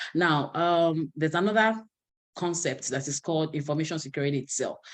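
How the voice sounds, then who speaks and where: The pace is fairly quick, and the background is quiet. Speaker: cybersecurity instructor. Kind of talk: online lecture. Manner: fast.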